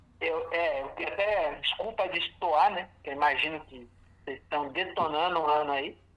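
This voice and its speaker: Against noticeable background noise, a man with a high pitch speaks at a moderate pace with ordinary pitch variation. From Brazil, Francisco Morato (São Paulo). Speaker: musician. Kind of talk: casual chat. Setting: phone call.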